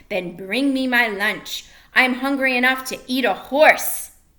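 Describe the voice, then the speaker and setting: A woman's put-on character voice, high-pitched and growling, at a fairly slow pace. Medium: read story. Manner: menacing.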